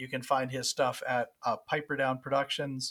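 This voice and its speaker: In an ordinary speaking voice with an American accent, a man talks at a fairly quick pace and medium pitch, in a very clean recording with a silent background. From West Virginia. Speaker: music podcast co-host. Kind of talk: casual chat.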